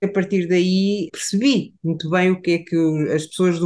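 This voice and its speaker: The speech comes in an ordinary speaking voice at a moderate pace. Its pitch variation is ordinary. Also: woman. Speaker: psychologist. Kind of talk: casual chat.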